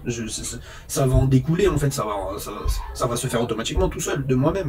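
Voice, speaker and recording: A man talking at a fairly quick pace over music in the background. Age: 30s. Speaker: vlogger, phone repairer. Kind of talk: casual monologue vlog.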